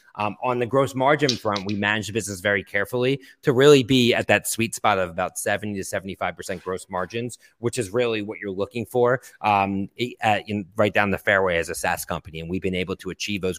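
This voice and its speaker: On a very clean recording with a silent background and a dry, close sound with no echo, a man speaks in a fairly low voice with ordinary pitch variation, an unremarkable speaking voice. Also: fairly quick pace. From US Northeast, Philadelphia. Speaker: tech company CEO. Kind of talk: interview.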